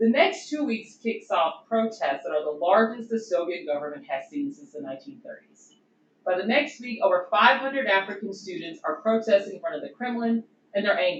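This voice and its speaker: A woman talks at a fairly quick pace with vocal fry. Her pitch swings very widely and her loudness rises and falls sharply. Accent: Southern US. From US Deep South. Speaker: doctoral researcher, historian. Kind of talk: conference presentation. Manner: casual, conversational.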